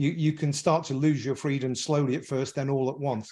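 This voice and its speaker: Somewhat breathy, dark and mellow speech in an English accent, monotone and flat, at a fairly quick pace against a quiet background. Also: man. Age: 60s. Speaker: businessman, podcast panelist. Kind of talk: podcast discussion. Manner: halting.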